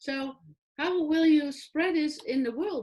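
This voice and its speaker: The speaker has a European accent and lively intonation. The background is quiet. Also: woman. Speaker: online talk show host. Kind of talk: interview. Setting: online video show.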